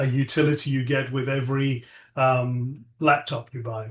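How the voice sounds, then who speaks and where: Talking fairly slowly in a British accent, a man keeps a medium pitch and a monotone, flat delivery. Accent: British (UK). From England (from age eight; born South Africa). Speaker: tech entrepreneur, AI lab CEO. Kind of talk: interview. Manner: halting, many fillers.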